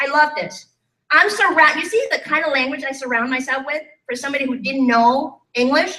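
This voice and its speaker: A raised, projected voice with a bright, sharp tone and lively intonation. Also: woman. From Thailand. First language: Thai. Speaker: life and business coach. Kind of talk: motivational talk. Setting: stage with live audience. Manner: animated.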